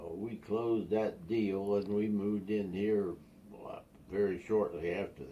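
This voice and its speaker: A man's dark, mellow voice at a fairly slow pace, with fairly even intonation and big swings in loudness. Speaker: grandfather telling family stories. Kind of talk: casual storytelling. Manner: halting.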